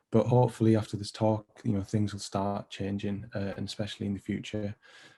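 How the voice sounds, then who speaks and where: In a Teesside accent, a man speaks fairly quickly in a dark, mellow tone that is somewhat breathy. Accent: Teesside (Middlesbrough). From northern England, Middlesbrough. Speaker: design lecturer presenting his project. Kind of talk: presentation.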